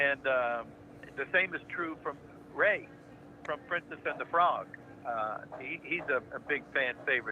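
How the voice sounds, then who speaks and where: Fairly slow male speech broken by long, frequent pauses, noticeable background noise behind it. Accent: American. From United States. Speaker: voice actor. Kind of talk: interview answer. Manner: laid-back, friendly, jovial.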